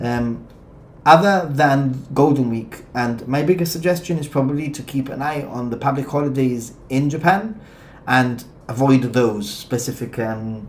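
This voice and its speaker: With audible room echo, a man speaks at a fairly high pitch and with ordinary pitch variation. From Gibraltar. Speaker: travel vlogger. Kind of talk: live stream chat, reading viewer questions. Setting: live stream.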